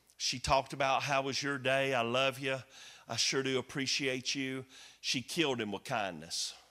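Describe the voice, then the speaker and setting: With a Southern US accent, a man speaks at a moderate pace in a bright, sharp tone of medium pitch, on a very clean recording with a silent background. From US South. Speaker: comedian and former pastor. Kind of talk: sermon. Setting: church. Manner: animated.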